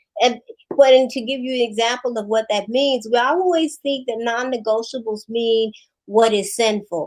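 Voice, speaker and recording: This woman's voice sits fairly high and moves with ordinary pitch variation. She talks at a moderate pace. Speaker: marriage counselor. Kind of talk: interview chat. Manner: loud.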